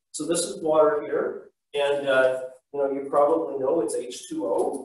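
A man's voice with audible room echo. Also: quiet background. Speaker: teacher. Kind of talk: lecture. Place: classroom. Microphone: camera far.

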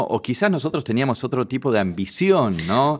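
Against a quiet background, a man's voice moves through very wide pitch swings. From Argentina, Buenos Aires northern suburbs (Vicente López); Buenos Aires, Argentina. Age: 60s. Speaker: fashion and portrait photographer; guest. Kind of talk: interview. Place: studio. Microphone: studio mic.

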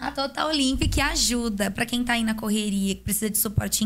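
A woman talks at a fairly quick pace and a medium pitch. Her voice is somewhat breathy, with ordinary pitch variation. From Brazil. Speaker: podcast host and dentist. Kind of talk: casual chat. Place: studio. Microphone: studio mic.

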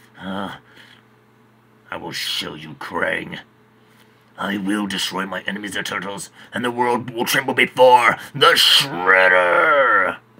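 In a cartoonish character voice, a man speaks at a fairly slow pace and fairly low pitch, with ordinary pitch variation, big swings in loudness and long, frequent pauses. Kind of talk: cartoon villain impression. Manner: grandiose, commanding, menacing.

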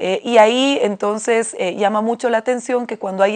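Against a quiet background, a woman talks at a moderate pace. Her intonation stays fairly even. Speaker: council guest. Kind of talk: interview answer. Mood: critical, indignant. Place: studio.

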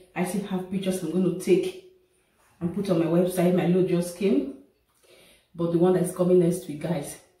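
A somewhat breathy woman's voice is heard with audible room echo. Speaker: home vlogger. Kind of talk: casual vlog chat. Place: bathroom. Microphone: camera far.

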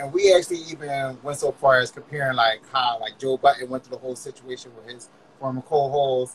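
A man is talking here. His pace is fairly quick. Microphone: video call.

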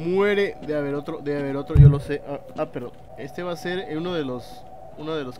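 Noticeable background noise is present. A man with a Mexican accent and fairly high pitch talks at a fairly quick pace. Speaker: gaming youtuber. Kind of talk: let's play commentary. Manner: animated.

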